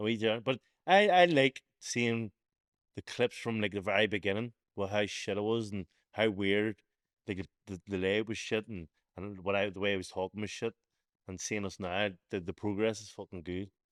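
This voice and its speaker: In a Belfast accent, a man with a fairly low pitch speaks at a moderate pace with fairly even intonation and big swings in loudness, the sound dry and close with no echo in a very clean recording against a silent background. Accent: Belfast, Northern Irish. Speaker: podcast host and boxer. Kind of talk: casual podcast talk.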